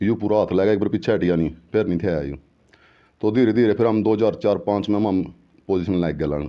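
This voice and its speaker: This man has an ordinary speaking voice, pitched fairly low. His pitch variation is ordinary. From Haryana, Karnal district. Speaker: former kabaddi player. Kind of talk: interview.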